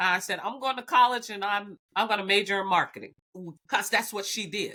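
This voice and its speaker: A bright, sharp tone in an American accent, with ordinary pitch variation and a fairly quick pace. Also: woman, medium pitch for a woman. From US South, Alabama. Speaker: biotech executive. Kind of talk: podcast interview.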